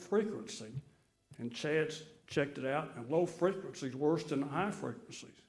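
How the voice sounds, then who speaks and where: In a Mississippi accent, a man with a fairly high voice speaks at a moderate pace with ordinary pitch variation. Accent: Southern US, Mississippi. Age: 70s. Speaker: resident speaking at city meeting. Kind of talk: public comment. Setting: city board meeting.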